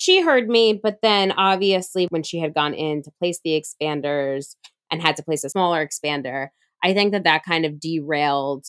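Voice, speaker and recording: A woman speaks in a normal speaking voice at a moderate pace, with ordinary pitch variation. The sound is dry and close, with no echo. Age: young. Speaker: podcast co-host, breast cancer survivor. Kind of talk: casual chat.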